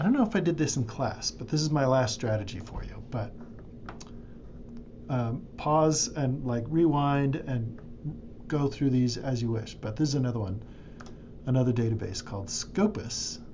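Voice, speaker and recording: With audible room echo, a man at medium pitch speaks at a moderate pace with lively intonation and long, frequent pauses. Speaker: librarian or instructor. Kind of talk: screen-recorded tutorial. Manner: casual, with fillers.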